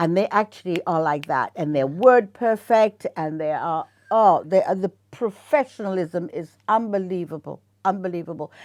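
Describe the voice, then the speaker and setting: A woman with a plain, everyday voice speaks at a moderate pace and medium pitch with lively intonation, her sound dry and close with no echo against a quiet background. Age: 60s. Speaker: actress. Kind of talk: interview.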